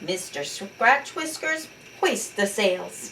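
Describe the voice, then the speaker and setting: A woman growls very slowly in a put-on character voice pitched fairly high. Clear background noise sits behind her. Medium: read story. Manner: growling, pirate-talk.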